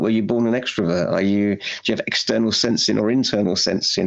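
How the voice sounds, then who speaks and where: With a British accent, a man speaks at a fairly low pitch with ordinary pitch variation. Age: 60s. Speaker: anxiety therapist. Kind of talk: podcast interview.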